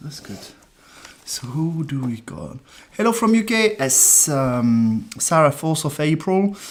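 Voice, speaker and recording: There are very wide pitch swings as a man speaks with a French accent. His pace is fairly slow. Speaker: numerologist. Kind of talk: live stream reading. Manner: hesitant, many fillers.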